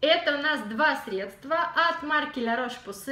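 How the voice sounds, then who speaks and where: With a raised, projected voice and an animated tone, a woman speaks at a fairly slow pace with lively intonation amid audible room echo. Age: 30s. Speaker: beauty blogger. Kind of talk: product review vlog. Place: home room. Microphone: camera far.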